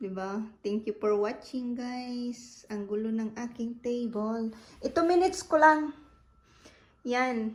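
Very slow, high-pitched female speech with ordinary pitch variation. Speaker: vlogger. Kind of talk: casual vlog. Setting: at home. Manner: laughing often.

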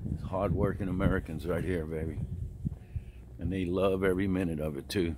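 A man at a moderate pace, dry with no echo, against noticeable background noise. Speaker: travel vlogger. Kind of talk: casual vlog chat. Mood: enthusiastic, opinionated. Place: waterside. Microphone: phone near.

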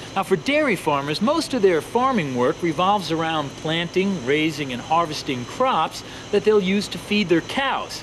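With clear background noise around him, a man talks at a medium speed. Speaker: presenter. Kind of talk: children's educational presenting. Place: farm machine.

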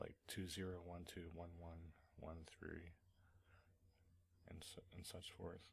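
A man's very deep, low, somewhat breathy voice, monotone and flat, at a very slow pace with long, frequent pauses. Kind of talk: screencast tutorial narration. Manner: casual, hesitant.

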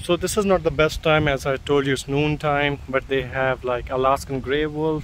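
The voice moves at a moderate pace, with a dry sound, no echo, and light background noise. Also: man. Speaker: resort guest vlogger. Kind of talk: casual vlog chat. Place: open country. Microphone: phone near.

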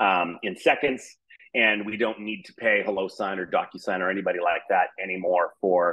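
A plain, everyday voice speaks at a moderate pace with fairly even intonation over a quiet background. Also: man, fairly low pitch for a man. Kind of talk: product presentation. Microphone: webcam.

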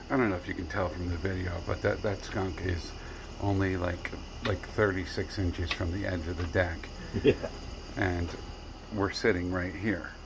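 Against noticeable background noise, a man with a very deep, low pitch talks at a moderate pace in a monotone, flat delivery, with long, frequent pauses. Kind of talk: casual vlog chat. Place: garden. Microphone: phone near.

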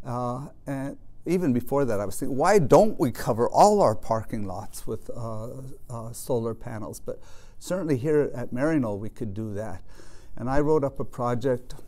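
A man with a Western US accent speaks in a dark, mellow tone. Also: moderate pace. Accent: General American, western US. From Colorado. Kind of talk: interview monologue. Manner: halting, many fillers. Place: home room.

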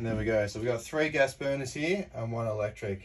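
A man talks at a moderate pace with ordinary pitch variation. Noticeable background noise sits behind him. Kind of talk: casual walkthrough tour. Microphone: phone near.

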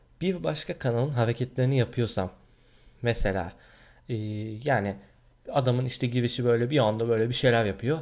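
A man talks at a fairly quick pace with ordinary pitch variation. Long, frequent pauses break up his speech against a quiet background. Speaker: gaming YouTuber; gaming channel vlogger. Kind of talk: vlog, casual talk to camera. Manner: hesitant, many fillers. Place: home room. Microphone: webcam.

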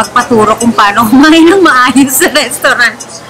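Against noticeable background noise, a woman speaks at a moderate pace with lively intonation. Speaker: food vlogger. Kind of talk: casual vlog chat. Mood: playful, amused. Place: bar. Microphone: camera far.

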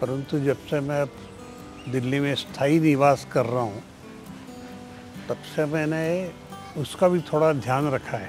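A man at a very slow pace with long, frequent pauses and ordinary pitch variation, dry with no echo, over clear background music. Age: 80s+. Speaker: former politician and activist; interviewee. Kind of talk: interview. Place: garden.

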